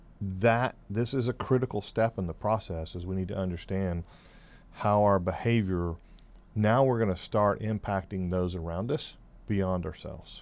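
A man talks at a moderate pace with a fairly low voice. His pitch varies in an ordinary way. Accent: American. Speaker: business coach and radio co-host. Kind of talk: radio talk show chat. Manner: halting, filler-heavy storytelling.

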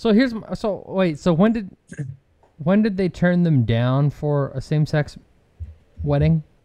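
Pausing long and often, a man with a high, dark, mellow voice speaks at a fairly slow pace with lively intonation. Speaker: podcast co-host. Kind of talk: casual chat. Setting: studio.

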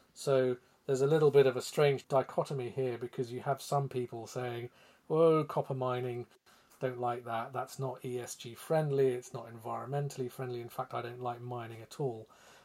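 With a British accent, a man speaks at medium pitch in a dark, mellow tone and a monotone, flat intonation. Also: moderate pace. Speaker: podcast host and financial editor. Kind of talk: casual chat.

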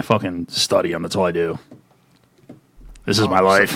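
The put-on character voice is raspy and intense, delivered in a flat monotone at a moderate pace. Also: man, very deep, low pitch for a man. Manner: gruff, intense.

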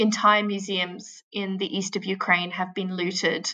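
A woman's bright, sharp, medium-pitched voice in an Australian accent, monotone and flat at a fairly slow pace over a quiet background. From Australia, Canberra. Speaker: humanitarian aid worker. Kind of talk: interview. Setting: remote call from a shelter in Kyiv.

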